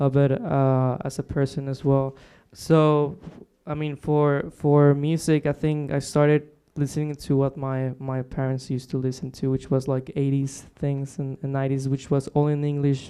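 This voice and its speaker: In a Spanish accent, a man speaks in a fairly high voice with a dark, mellow tone and monotone, flat intonation. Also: moderate pace. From Mexico, Monterrey. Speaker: singer-songwriter. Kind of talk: radio interview. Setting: radio studio, live broadcast. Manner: hesitant, many fillers.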